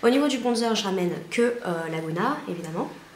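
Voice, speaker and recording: A woman of medium pitch, fairly quick, with ordinary pitch variation, amid audible room echo and noticeable background noise. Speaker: beauty vlogger. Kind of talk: casual vlog tutorial. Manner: fast; hesitant, many fillers.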